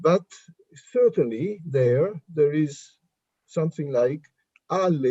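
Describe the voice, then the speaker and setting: A man's dark, mellow tone at a fairly high pitch, in an Italian accent, with long, frequent pauses and a dry, close sound with no echo. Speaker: linguistics professor. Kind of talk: academic Q&A discussion.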